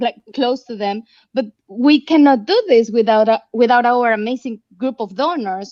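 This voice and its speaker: Speaking with a Mexican accent, a woman uses a high pitch with ordinary pitch variation at a moderate pace. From Mexico. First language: Spanish. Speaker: nonprofit representative. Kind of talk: online panel interview.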